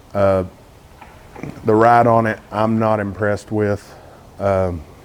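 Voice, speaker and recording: A man speaks very slowly with a Texas accent and a fairly low pitch. His intonation is monotone and flat, and there is noticeable background noise. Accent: Texas accent, self-described as messed up. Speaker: car YouTuber. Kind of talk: casual vlog talk to camera. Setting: outdoors, cold morning.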